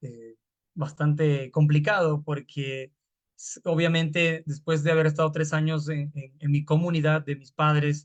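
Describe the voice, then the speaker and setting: A man talks at a fairly slow pace in a monotone, flat intonation. His voice is somewhat breathy, with big swings in loudness. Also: fairly high pitch for a man. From Peru, Lima (San Juan de Lurigancho). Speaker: hip hop artist. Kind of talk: panel talk. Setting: video call. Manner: halting.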